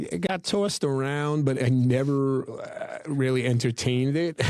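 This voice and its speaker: A fairly high-pitched man with a New York accent at a moderate pace, amid noticeable background noise. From New York City. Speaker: podcast editor and film crew manager. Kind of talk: casual interview chat. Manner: casual, many fillers.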